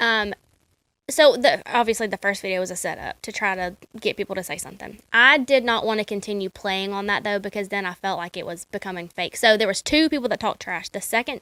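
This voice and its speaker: In a very clean recording with a silent background and a dry, close sound with no echo, a woman speaks very fast in a bright, sharp tone with ordinary pitch variation. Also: medium pitch for a woman. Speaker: podcast co-host. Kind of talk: casual chat. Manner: animated.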